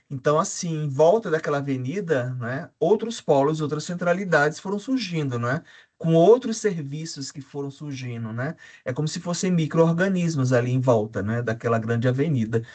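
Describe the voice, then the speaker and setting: A man's ordinary speaking voice, fairly high in pitch, with lively intonation at a moderate pace. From Brazil, João Pessoa (Paraíba, Northeast). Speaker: academic panelist, urban researcher. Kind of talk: academic panel discussion.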